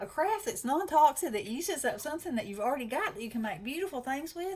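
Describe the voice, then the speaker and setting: A woman in a Southern US accent at a very fast pace, with very wide pitch swings. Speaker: craft channel host. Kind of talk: casual chat. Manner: animated.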